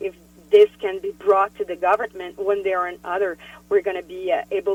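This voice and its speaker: Medium in pitch and monotone, flat in intonation, a woman with a French-Canadian accent speaks at a moderate pace. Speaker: politician. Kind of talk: interview. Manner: halting.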